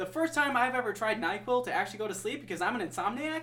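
With an American accent, a man uses a raised, projected voice at a high pitch, talking at a very fast pace with lively intonation. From US Midwest, Wisconsin. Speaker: podcast co-host. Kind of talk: casual chat.

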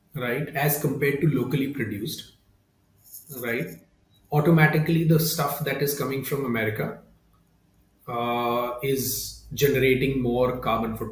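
With audible room echo, a somewhat breathy man of medium pitch talks at a moderate pace with fairly even intonation and long, frequent pauses. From India, Mumbai. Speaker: company founder and CEO. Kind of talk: interview. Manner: hesitant, many fillers.

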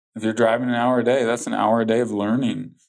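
In a very clean recording over a silent background, a man talks. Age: 40s. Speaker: entrepreneur and success coach. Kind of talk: interview. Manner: animated.

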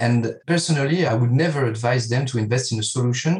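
This man has a medium pitch and ordinary pitch variation. He talks at a fairly quick pace, somewhat breathy. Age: 30s. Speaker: financial advisor. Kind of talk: interview.

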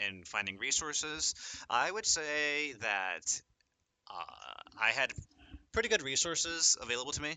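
This man has an unremarkable speaking voice, with lively intonation at a moderate pace. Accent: American. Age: 20s. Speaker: college student esports player. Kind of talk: podcast interview.

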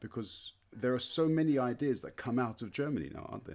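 This is a man with a British accent. His pitch sits in the medium range. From Britain. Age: 40s. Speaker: podcast host and language teacher. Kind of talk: casual interview. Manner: halting, many fillers.

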